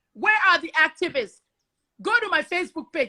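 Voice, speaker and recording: A raised, projected voice with a bright, sharp tone, lively intonation and a fairly quick pace. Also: woman. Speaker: investigative journalist. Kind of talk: heated discussion. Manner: animated; loud.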